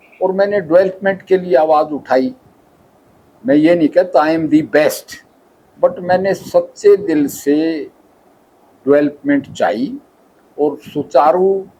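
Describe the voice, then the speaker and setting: A man speaks at a high pitch with lively intonation. He leaves long, frequent pauses. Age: 70s. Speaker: politician, retired army doctor. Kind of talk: interview.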